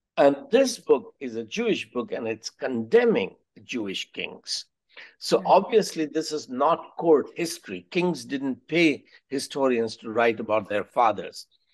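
Spoken with an Indian accent at a fairly slow pace, the pitch swings very widely. Loudness rises and falls a lot over a quiet background. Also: man, fairly high pitch for a man. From India (Allahabad). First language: Hindi. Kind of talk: podcast interview. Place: home room. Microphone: webcam.

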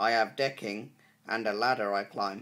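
A man's bright, sharp, upbeat tone at a moderate pace. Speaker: poet and YouTube creator. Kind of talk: poetry reading, introduced casually then read aloud. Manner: upbeat, friendly, earnest. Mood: earnest, pleased. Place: home room. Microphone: phone near.

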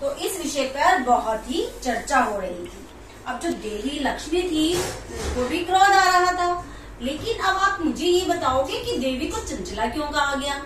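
A woman with a high pitch speaks at a fairly slow pace. Audible room echo and noticeable background noise are present. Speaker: storyteller to children. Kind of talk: storytelling. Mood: warm, animated narration. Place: home room.

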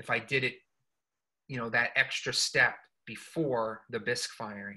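At a moderate pace, a man speaks in a bright, sharp tone with fairly even intonation against a quiet background. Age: 40s. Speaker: studio potter. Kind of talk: artist talk and demo. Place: workshop. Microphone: video call.

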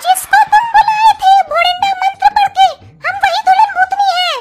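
An extremely high-pitched, cartoonish character voice. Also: moderate pace.

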